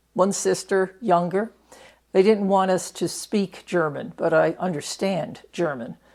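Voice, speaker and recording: In an American accent, a woman with vocal fry speaks fairly slowly at a medium pitch, with ordinary pitch variation. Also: very clean recording, silent background. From New York, Catskill Mountains. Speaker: retired prison doctor. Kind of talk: oral history interview. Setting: interview in Reno.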